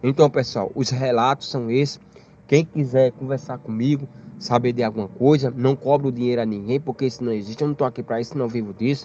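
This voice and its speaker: Speaking at a fairly quick pace, a man has a plain, everyday voice. His pitch is medium, with ordinary pitch variation. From Brazil, Paraíba (Campina Grande). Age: 30s. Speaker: storyteller sharing a UFO experience. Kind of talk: personal testimony.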